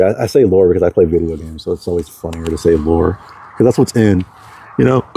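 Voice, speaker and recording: With an American accent, a man talks at a very fast pace and a very deep, low pitch through noticeable background noise. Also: dry, close sound with no echo. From Texas, Galveston. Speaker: vlogger. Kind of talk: casual monologue. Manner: rambling with many fillers.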